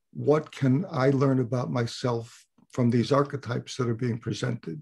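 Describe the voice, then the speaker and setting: A man with an American accent speaks at medium pitch with vocal fry. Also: ordinary pitch variation, moderate pace. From US Northeast (Connecticut). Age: 70s. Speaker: retired psychiatrist and astrologer. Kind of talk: interview.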